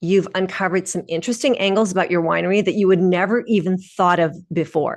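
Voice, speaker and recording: Here a woman has an unremarkable speaking voice with a medium pitch. She talks at a moderate pace with ordinary pitch variation. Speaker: PR consultant and webinar presenter. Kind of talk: webinar presentation. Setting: online webinar with screen share.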